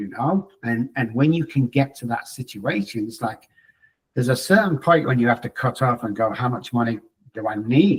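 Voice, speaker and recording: Somewhat breathy, a man speaks at a moderate pace. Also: medium pitch for a man, ordinary pitch variation. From England. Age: 60s. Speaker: psychologist. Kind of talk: interview.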